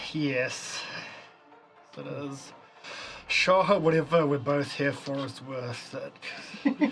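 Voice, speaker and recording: A put-on character voice, raspy and low-to-middle in pitch, creeps along at a very slow pace with long, frequent pauses. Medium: actual play.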